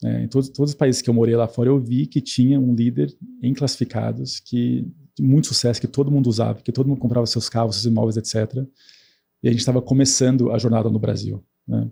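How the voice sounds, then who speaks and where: In a dark, mellow, somewhat breathy tone, a man talks very fast at a medium pitch with fairly even intonation. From grew up abroad, English-speaking schooling. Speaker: tech company executive. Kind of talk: podcast interview. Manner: many fillers and repetitions.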